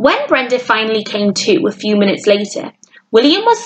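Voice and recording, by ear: Someone reads aloud in a natural voice, the intonation lively, with a quiet background behind.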